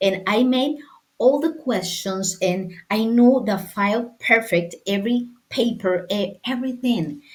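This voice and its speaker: A woman speaks with a Spanish accent. Her voice is somewhat breathy. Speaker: sports lawyer and football administrator. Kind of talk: interview. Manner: halting.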